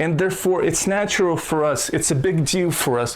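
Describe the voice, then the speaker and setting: Over noticeable background noise, someone speaks in a Russian accent at a moderate pace, the tone animated. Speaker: YouTube commentator. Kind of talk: casual commentary rant.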